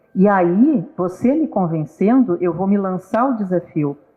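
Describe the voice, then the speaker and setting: Over music in the background, a woman talks at a medium pitch with lively intonation. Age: 60s. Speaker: guest speaker on psychology talk. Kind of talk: casual talk show conversation. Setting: live stream.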